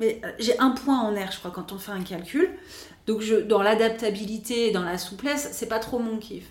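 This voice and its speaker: Against noticeable background noise, the speech moves at a fairly slow pace with ordinary pitch variation. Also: woman. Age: 40s. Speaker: astrologer and spiritual therapist. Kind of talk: podcast interview.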